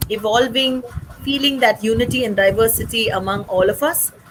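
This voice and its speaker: Over noticeable background noise, a woman talks at a moderate pace, her pitch fairly high with ordinary variation. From India, Chennai (North Indian family). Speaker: social activist, company founder. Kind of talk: interview.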